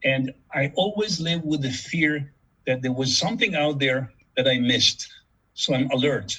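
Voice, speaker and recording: This man speaks at a fairly slow pace with lively intonation, a bright, sharp tone and a medium pitch. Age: 70s. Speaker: board game inventor. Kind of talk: interview. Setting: video call. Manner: halting, many repetitions.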